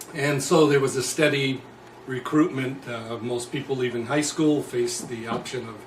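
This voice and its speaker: A man with an American accent at a medium pitch, moderate pace and fairly even intonation, with audible room echo and noticeable background noise. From New Jersey. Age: 60s. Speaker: former prisoner and anti-war activist. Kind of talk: interview.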